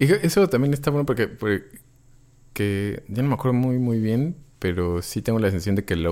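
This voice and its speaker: Lively in intonation, a man talks at a fairly quick pace with medium pitch and a dark, mellow tone. The recording is very clean and the background silent. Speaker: podcast co-host. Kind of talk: casual chat.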